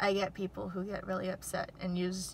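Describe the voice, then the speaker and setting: A woman speaks at a fairly slow pace in a medium pitch. Noticeable background noise runs underneath. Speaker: YouTuber. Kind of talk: casual vlog. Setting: outdoors near airport. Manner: shaky voice.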